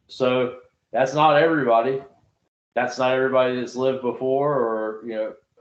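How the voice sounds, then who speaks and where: With a Southern US accent, a man talks at a moderate pace in a medium-pitched, flat monotone. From US South. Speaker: Bible study podcast host. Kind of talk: casual Bible discussion.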